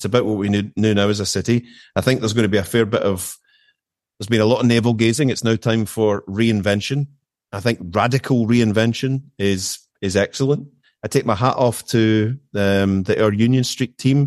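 Against a quiet background, a man with a Glaswegian accent speaks at a moderate pace, with a medium pitch and fairly even intonation. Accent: Glaswegian Scottish. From west of Scotland (Erskine, near Glasgow). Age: 50s. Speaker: managing director. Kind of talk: casual chat.

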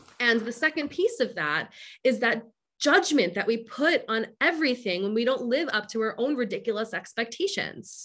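In a very clean recording with a silent background, a woman speaks with an American accent at a high pitch. Her tone is animated, her pitch swings very wide, and her pace is moderate. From US Northeast, Long Island, New York. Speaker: educator and author. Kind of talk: interview.

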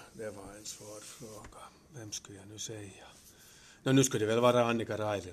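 Fairly low in pitch and somewhat breathy, a man's voice moves with fairly even intonation. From Finland. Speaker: retired teacher. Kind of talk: interview. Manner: halting.

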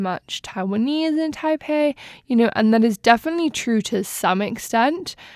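This woman has a plain, everyday voice, pitched fairly high, with lively intonation. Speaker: podcast host. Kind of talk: casual interview chat.

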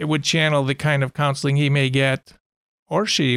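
A man's fairly high voice at a moderate pace, with a dry, close sound and no echo. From Chicago area. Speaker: youth care agency director. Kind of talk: interview.

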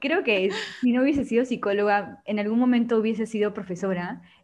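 Talking at a fairly quick pace, a woman with an ordinary speaking voice keeps a medium pitch and fairly even intonation. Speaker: psychology student, podcast team member. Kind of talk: casual panel chat.

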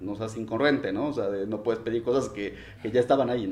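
At a fairly quick pace, a man with an unremarkable speaking voice talks in a medium pitch with fairly even intonation. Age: 30s. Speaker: office administrator. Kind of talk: casual chat.

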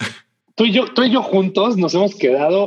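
The man's voice is high-pitched. It swings very widely up and down. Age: 40s. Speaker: basketball podcast host. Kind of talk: casual chat. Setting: home recording.

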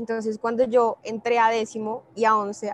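The woman's voice sits at a fairly high pitch, recorded dry and close with no echo. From Colombia, Bogotá. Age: 20s. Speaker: social entrepreneur, company founder. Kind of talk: interview.

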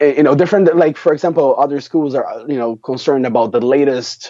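A man with a Brazilian Portuguese accent, very wide pitch swings and a moderate pace. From Brazil, countryside of São Paulo state. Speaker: premed student. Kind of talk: interview. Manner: halting, many fillers.

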